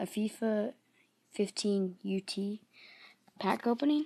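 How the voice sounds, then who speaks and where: Her voice has a dark, mellow tone and sits at a medium pitch for a woman. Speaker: gaming YouTuber. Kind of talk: gameplay commentary. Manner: hesitant, many fillers.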